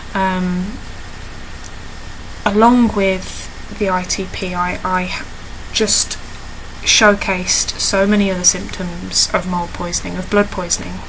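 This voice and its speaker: The speech comes at a fairly slow pace, monotone and flat, with long, frequent pauses, audible room echo and noticeable background noise. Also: woman, medium pitch for a woman. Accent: British. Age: 20s. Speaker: video diarist with chronic illness. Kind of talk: personal video diary. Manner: halting, many fillers.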